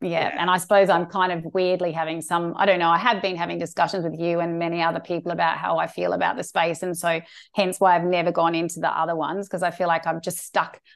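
Delivered at a very fast pace, this voice has an Australian accent and monotone, flat intonation. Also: woman, fairly low pitch for a woman, hardly any pauses. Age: 40s. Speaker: sex therapist. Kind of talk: interview.

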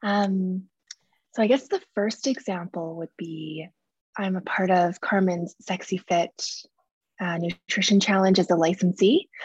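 A woman's somewhat breathy voice at medium pitch, fairly even in intonation and fairly slow, in a dry, close sound with no echo. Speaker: coaching member asking question. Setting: video call.

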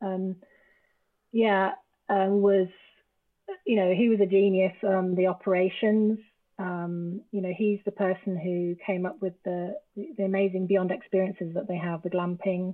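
Speaking in an English accent at a moderate pace, a woman keeps a medium pitch and a monotone, flat intonation, with long, frequent pauses. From England. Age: 50s. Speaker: travel business founder. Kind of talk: casual chat.

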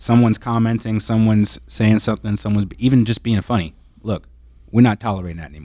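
A man with an American accent speaks very fast in a fairly low, dark, mellow voice, with big swings in loudness. The recording is very clean, the background silent. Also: ordinary pitch variation. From Maryland, DC-Baltimore area. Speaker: personal trainer and former football player. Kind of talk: casual discussion.

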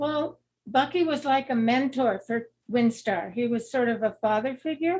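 A woman's high-pitched voice in an American accent, with ordinary pitch variation at a moderate pace. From Burbank, California, US. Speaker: greenhouse business co-founder. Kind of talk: interview conversation.

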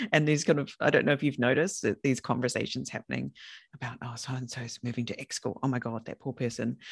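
The speaker has a New Zealand accent and talks at a very fast pace. The background is quiet. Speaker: podcast host and consultant. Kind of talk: interview, casual chat.

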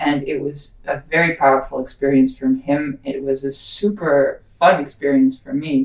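Using a very deep, low pitch, a woman talks at a moderate pace with hardly any pauses and fairly even intonation. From Netherlands. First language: Dutch. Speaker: psychedelic guide. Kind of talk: casual chat.

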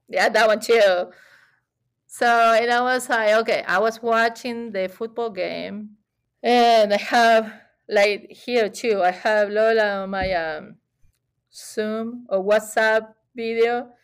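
Very slowly and with long, frequent pauses, a woman with an Argentine accent speaks at a fairly high pitch and fairly even intonation on a very clean recording with a silent background. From Buenos Aires, Argentina. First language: Spanish. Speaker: chef and gelato shop owner. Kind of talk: casual interview.

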